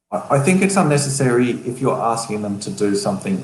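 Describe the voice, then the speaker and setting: Man speaking at a fairly quick pace, with audible room echo. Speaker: LinkedIn writing expert. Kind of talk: live stream interview. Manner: halting, thinking aloud.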